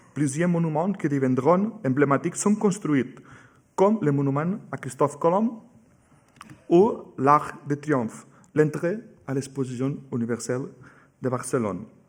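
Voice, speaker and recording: Lively intonation marks this man's fairly high voice, which moves at a fairly slow pace with long, frequent pauses. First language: Catalan or Spanish (speaking French). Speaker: museum curator giving a talk. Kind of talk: lecture. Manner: halting, with hesitations.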